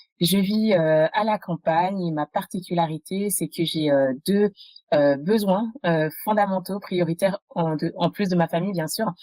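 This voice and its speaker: Dry and close with no echo, the recording holds a woman's fairly low, dark, mellow voice moving at a fairly slow pace with ordinary pitch variation. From France (adopted as a child from abroad). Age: 30s. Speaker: entrepreneur, podcast guest. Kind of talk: interview testimony. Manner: halting, many fillers.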